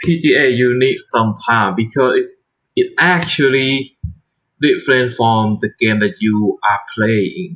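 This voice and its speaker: A man speaks very slowly at a medium pitch. His intonation is lively while his loudness stays very even. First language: not English. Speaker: shogi streamer. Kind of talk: casual live-stream chat. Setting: live stream. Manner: halting, repeating words.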